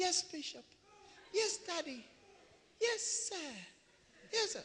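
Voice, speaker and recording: A put-on character voice squeaks at an extremely high pitch. It moves at a fairly slow pace. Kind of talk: submissive. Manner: humble, meek.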